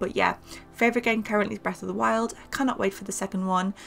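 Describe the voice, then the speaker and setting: A woman talks with a northern English accent. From northern England. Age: 20s. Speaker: gaming YouTuber. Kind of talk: casual voiceover Q&A. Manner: chatty, many fillers.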